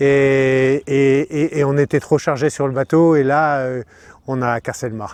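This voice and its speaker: A man's fairly high, flat monotone at a very slow pace, dry and close with no echo, over a quiet background. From Normandy, France. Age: 60s. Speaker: sailor and boat builder. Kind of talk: interview. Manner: hesitant, many fillers.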